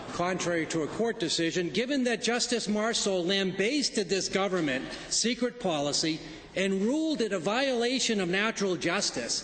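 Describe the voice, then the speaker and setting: Against noticeable background noise, a high-pitched man speaks at a moderate pace with lively intonation and very even loudness. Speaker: member of the legislative assembly questioning a minister. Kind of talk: formal legislature question period speech.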